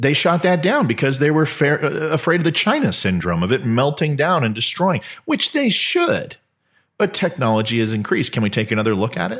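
A fairly high-pitched man at a fairly quick pace, with vocal fry and very wide pitch swings. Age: 40s. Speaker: political commentary podcaster. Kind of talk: casual monologue. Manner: animated.

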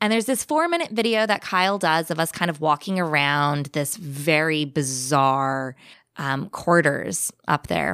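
A woman with a Californian accent, very deep and low in pitch, fairly slow, with lively intonation, on a very clean recording with a silent background. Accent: Californian American. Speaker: podcaster sharing paranormal stories. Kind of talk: storytelling in casual chat.

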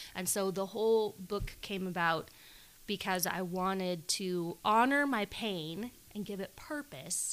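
In a very clean recording with a silent background, a woman with an ordinary speaking voice talks at a fairly slow pace and a medium pitch. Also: ordinary pitch variation. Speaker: author. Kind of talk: casual chat.

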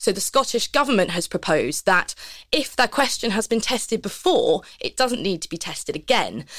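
A normal speaking voice with lively intonation, at a fairly quick pace, on a very clean recording with a silent background. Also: woman. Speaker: policy researcher. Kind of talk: panel discussion.

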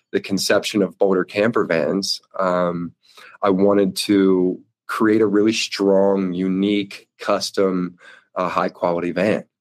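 With an American accent, a man speaks in a very deep, low pitch and a monotone, flat intonation. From US East Coast. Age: 30s. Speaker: van conversion business owner. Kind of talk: interview. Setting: video call.

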